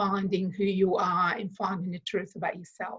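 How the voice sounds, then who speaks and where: A woman with a non-native accent, medium in pitch, in a monotone, flat intonation. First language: not English. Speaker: consciousness facilitator. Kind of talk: interview. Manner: hesitant, many fillers.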